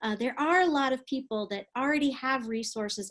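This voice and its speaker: Against a quiet background, a woman with an American accent speaks with lively intonation at a moderate pace. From Texas, San Antonio. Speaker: preaching professor and pastor. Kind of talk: webinar lecture. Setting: recorded online webinar. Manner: many fillers and hesitations.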